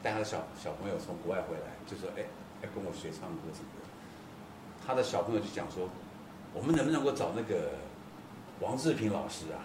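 Over noticeable background noise, a man at a medium pitch talks at a fairly quick pace with very wide pitch swings, big swings in loudness, and long, frequent pauses. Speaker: folk-pop singer.

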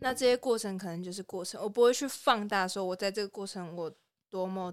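Recorded very cleanly against a silent background, a woman of medium pitch speaks at a moderate pace with ordinary pitch variation. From Taiwan, Pingtung. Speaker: podcast co-host. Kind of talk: casual chat.

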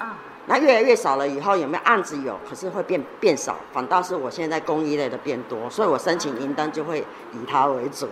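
A woman's very deep, low voice, fairly quick and lively in intonation, over noticeable background noise. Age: 50s. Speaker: metalwork craft teacher. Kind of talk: interview. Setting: workshop studio.

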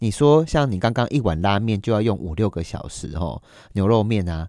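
Recorded very cleanly against a silent background with a dry, close sound and no echo, a man speaks with lively intonation and a fairly low pitch. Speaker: podcast host. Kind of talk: casual interview. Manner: animated.

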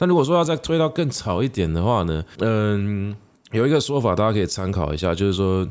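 A man with a fairly low pitch talks at a fairly quick pace, his pitch swinging very widely while his loudness stays very even. The recording is very clean, with a silent background. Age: middle-aged. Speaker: podcast host and literature teacher. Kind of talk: solo educational monologue. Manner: casual with frequent fillers.

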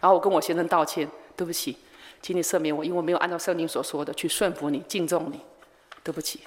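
A woman with a Taiwanese accent talks very fast in a fairly low voice, with ordinary pitch variation. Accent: Taiwanese Mandarin. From Taiwan, Changhua countryside. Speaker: missionary. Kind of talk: sermon.

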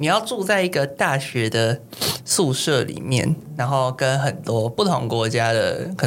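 A man talks at a fairly slow pace. There is noticeable noise behind him. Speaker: podcast co-host. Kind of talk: casual chat.

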